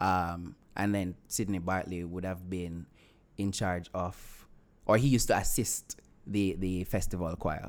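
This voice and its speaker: Very deep, low male voice at a fairly slow pace, with fairly even intonation. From Jamaica, rural Clarendon. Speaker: actor and writer. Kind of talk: interview.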